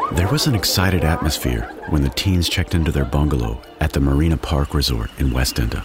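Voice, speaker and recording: A man with an American accent speaks at a moderate pace in a very deep, low voice, with noticeable background noise. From Texas. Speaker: true crime podcast host. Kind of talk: scripted narration.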